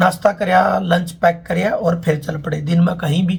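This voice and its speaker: The man has a high pitch and fairly even intonation. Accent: Haryana. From Haryana. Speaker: travel vlogger. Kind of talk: casual talk to camera.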